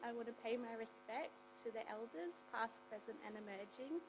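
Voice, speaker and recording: In an Australian accent, a soft-spoken woman talks at a moderate pace with noticeable background noise behind her. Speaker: clinical psychologist and researcher. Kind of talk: seminar presentation. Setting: seminar room with audience.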